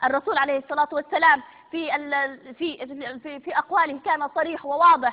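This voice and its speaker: A woman with a Libyan accent speaks at a moderate pace in a high voice with ordinary pitch variation. Her loudness swings widely. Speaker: TV presenter. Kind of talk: live TV broadcast. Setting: studio. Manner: hysterical, threatening.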